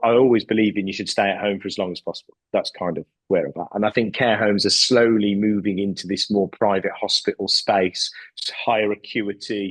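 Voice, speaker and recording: A man with a West Midlands accent and a fairly low voice talks at a fairly quick pace, in a dry, close sound with no echo. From West Midlands, England. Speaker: care home company CEO. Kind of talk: podcast interview. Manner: hesitant, repeats words.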